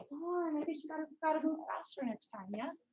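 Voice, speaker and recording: A woman projects her raised voice at a high pitch. Her pitch swings very widely. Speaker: karate instructor. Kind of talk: fitness class instruction. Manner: fast; commanding.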